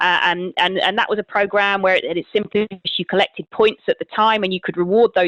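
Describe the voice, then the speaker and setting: Speaking at a fairly quick pace with a British accent, a woman keeps a medium pitch and fairly even intonation. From Britain. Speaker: marketing executive. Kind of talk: podcast interview.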